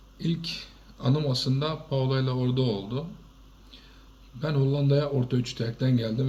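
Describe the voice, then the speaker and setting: This man talks at a moderate pace in a medium-pitched, somewhat breathy voice with a dark, mellow tone, very even loudness and ordinary pitch variation. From Turkey. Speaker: shop owner. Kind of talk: testimony.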